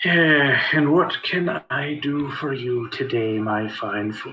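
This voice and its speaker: A man adopts a put-on character voice, talking fairly slowly with a fairly high pitch. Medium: actual play. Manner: weary.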